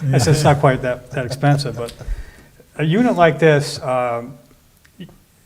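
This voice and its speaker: The loudness swings widely while the pitch varies in an ordinary way. Delivery is at a moderate pace, with audible room echo. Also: man, fairly high pitch for a man. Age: 60s. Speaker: water utility commissioner. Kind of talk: interview.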